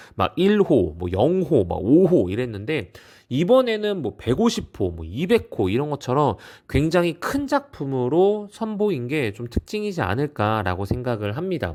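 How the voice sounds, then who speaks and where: A man's animated, fairly high voice at a fairly slow pace, with very wide pitch swings, on a very clean recording with a silent background. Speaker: art collecting YouTuber. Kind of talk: casual vlog commentary.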